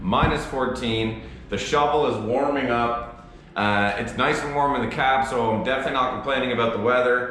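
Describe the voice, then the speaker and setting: A man speaks at a fairly quick pace and medium pitch, his intonation fairly even. Noticeable background noise runs behind him. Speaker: heavy equipment operator. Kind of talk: casual talk to camera, work vlog.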